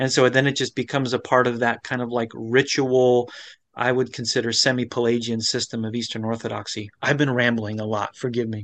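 A man's medium-pitched voice with an American accent, monotone and flat, at a fairly quick pace over a quiet background. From Florida. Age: 40s. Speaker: pastor, former Orthodox priest. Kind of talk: interview about faith journey. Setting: remote video interview.

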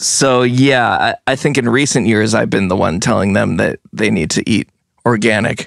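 Recorded with a dry, close sound and no echo, a man speaks at a medium pitch and a moderate pace, with vocal fry, ordinary pitch variation and very even loudness. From US Northeast, Vermont and New Jersey. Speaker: musician. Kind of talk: casual chat.

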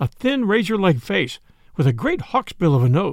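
Natural, read-aloud delivery

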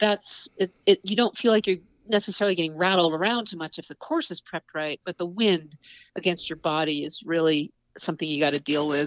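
Using a plain, everyday voice, a woman with an American accent speaks at a fairly quick pace in a fairly low pitch, with ordinary pitch variation and big swings in loudness. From upstate New York (Adirondacks). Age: 50s. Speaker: outdoor writer, TV producer and champion skier. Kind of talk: interview.

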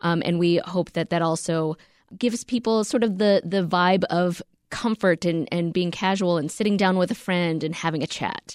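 With a dry, close sound with no echo, a woman with a plain, everyday voice and an American accent speaks at a moderate pace in a fairly low pitch with fairly even intonation. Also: very clean recording, silent background. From US, Korean American. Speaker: podcast co-host and reporter. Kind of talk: interview.

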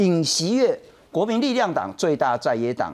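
The speaker has a Taiwanese accent and very wide pitch swings at a moderate pace. The recording is very clean with a silent background. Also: man. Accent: Taiwanese Mandarin. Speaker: talk show host. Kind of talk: political talk show. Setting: studio.

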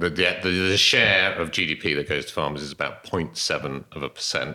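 Recorded very cleanly against a silent background, a man with a very deep, low pitch speaks in a bright, sharp tone with vocal fry. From Devon, England. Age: 50s. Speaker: organic farmer. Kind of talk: interview conversation. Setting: at his farmhouse.

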